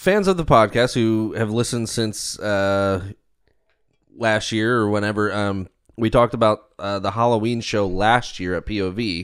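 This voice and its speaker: Over a silent background in a very clean recording, a man with an unremarkable speaking voice talks at a fairly low pitch. His pace is fairly slow and his intonation fairly even. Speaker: podcast host and comedian. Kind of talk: casual chat.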